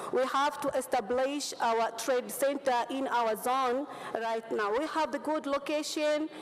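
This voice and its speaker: Over noticeable background noise, a woman speaks at a fairly slow pace in a high pitch, her intonation fairly even and her loudness very even. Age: 30s. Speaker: parliamentary candidate. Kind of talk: campaign speech. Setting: parliament chamber.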